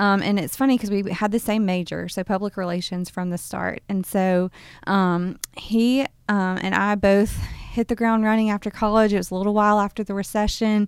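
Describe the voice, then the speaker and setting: In a Southern US accent, a woman speaks at a moderate pace. Her medium-pitched voice stays monotone, with flat intonation. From US South, Birmingham, Alabama. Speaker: nonprofit executive director. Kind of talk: interview. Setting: studio.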